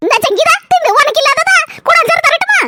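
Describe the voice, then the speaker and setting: A squeaky, cartoonish character voice with very wide pitch swings moves at a fairly quick pace. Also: woman, extremely high pitch for a woman. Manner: chatty, boastful.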